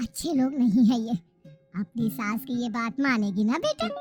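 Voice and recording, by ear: With faint music in the background, a woman puts on a cartoonish character voice at a fairly high pitch. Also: moderate pace.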